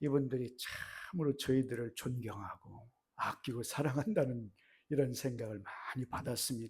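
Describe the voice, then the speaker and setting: At a very slow pace, a man talks in a dark, mellow tone at medium pitch, somewhat breathy, with ordinary pitch variation. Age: 70s. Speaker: missionary. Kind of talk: sermon. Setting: church. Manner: halting.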